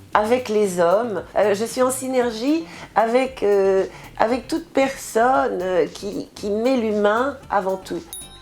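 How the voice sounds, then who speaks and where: With noticeable background noise around them, the speaker uses lively intonation at a very slow pace. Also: woman. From Martinique. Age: 60s. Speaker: writer. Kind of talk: interview.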